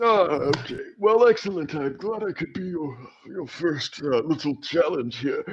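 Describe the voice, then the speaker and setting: Putting on a character voice, a man pitches himself high and keeps a moderate pace with lively intonation. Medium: actual play. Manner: hesitant, rambling.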